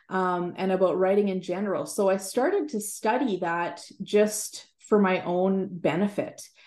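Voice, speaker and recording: A woman's normal speaking voice with a Canadian accent, medium pitch, ordinary pitch variation and a fairly slow pace. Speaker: writer and Bible teacher. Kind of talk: interview.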